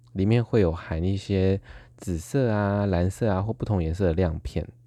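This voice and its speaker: This man's voice sits fairly low in pitch and has a dark, mellow tone. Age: 20s. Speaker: podcast host. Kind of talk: casual solo monologue.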